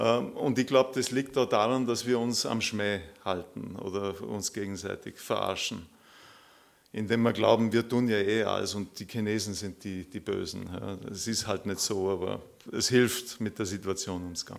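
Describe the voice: Fairly low in pitch, a man speaks with vocal fry. His intonation is fairly even at a moderate pace.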